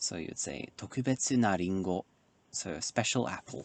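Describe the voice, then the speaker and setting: Soft-spoken and very deep in pitch, a man with a British accent talks at a very slow pace with lively intonation, in a dry, close sound with no echo. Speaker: Japanese language learner. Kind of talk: ASMR study session talk to camera. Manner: soft-spoken, quiet.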